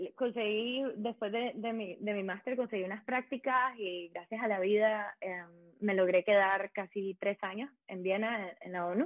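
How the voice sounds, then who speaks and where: A woman speaks at a medium pitch with a Nicaraguan accent. Her pace is fairly slow and her intonation fairly even. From Nicaragua, Managua. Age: 20s. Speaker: economic policy consultant. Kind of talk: casual interview chat.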